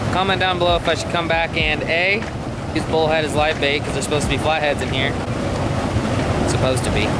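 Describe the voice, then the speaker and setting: Loud background noise runs beneath a man who talks at a fairly quick pace. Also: dry sound with no echo. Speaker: fishing vlogger. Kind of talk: casual vlog chat. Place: open country. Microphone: phone near.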